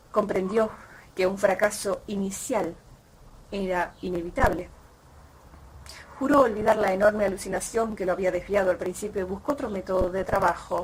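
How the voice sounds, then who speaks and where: With an Argentine accent, a woman speaks at medium pitch and a moderate pace, with fairly even intonation. She leaves long, frequent pauses over noticeable background noise. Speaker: audiobook reader. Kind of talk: short story reading. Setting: outdoors.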